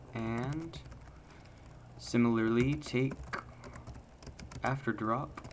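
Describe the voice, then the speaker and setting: A man speaks at a very slow pace and medium pitch with fairly even intonation. Noticeable background noise and audible room echo are present. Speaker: programming tutorial creator. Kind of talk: live coding tutorial.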